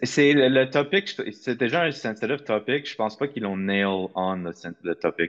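Medium in pitch, this man has an ordinary speaking voice. He speaks at a moderate pace with lively intonation. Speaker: podcast co-host. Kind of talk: casual chat.

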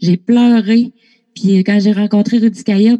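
A woman with a Lac-Saint-Jean accent speaks fairly slowly at a medium pitch, her somewhat breathy tone dark and mellow, her intonation monotone and flat, in a dry, close sound with no echo. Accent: Lac-Saint-Jean Quebec French. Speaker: artist manager. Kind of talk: casual interview.

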